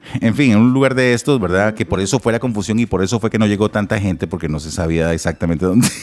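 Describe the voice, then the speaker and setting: Very fast speech from a man with a Costa Rican accent and fairly low pitch, against noticeable background noise. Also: ordinary pitch variation, hardly any pauses. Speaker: podcast co-host. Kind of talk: casual chat.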